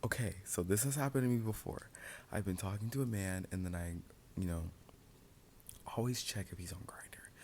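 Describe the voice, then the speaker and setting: Soft-spoken and somewhat breathy, a man talks in a very deep, low voice with ordinary pitch variation. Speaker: ASMR storyteller. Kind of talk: storytime. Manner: whispering.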